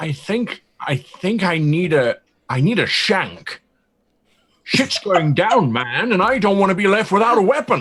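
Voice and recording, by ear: A man puts on a character voice at a fairly slow pace, high in pitch with big pitch swings, a fairly bright tone and a slightly husky edge.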